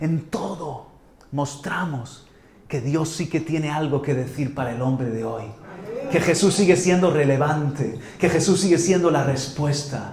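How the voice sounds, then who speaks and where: A man at a fairly slow pace, fairly high in pitch with ordinary pitch variation, amid audible room echo and noticeable background noise. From Spain, Murcia. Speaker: pastor. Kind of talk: sermon. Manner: animated; halting, many repetitions.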